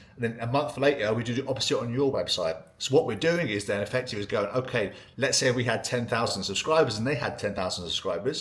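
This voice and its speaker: A man talks at a very fast pace in a medium pitch. His voice is somewhat breathy, with ordinary pitch variation. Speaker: ecommerce email marketing consultant. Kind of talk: tutorial. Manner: animated.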